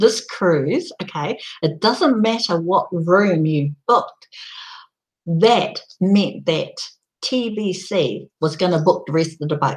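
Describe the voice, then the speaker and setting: Speaking at a very slow pace, a woman uses lively intonation and a passionate tone. Her pitch sits at a medium level. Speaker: online community promoter. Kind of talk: live stream presentation. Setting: live video broadcast. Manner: gets loud and passionate.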